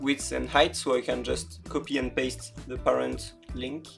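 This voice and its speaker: Music plays in the background. The speaker has a French accent. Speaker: creative coding tutorial maker. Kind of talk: software tutorial narration. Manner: casual, hesitant with fillers.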